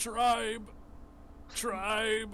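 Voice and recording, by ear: A man uses a put-on character voice, raised and projected, at a high pitch. Clear background noise is present.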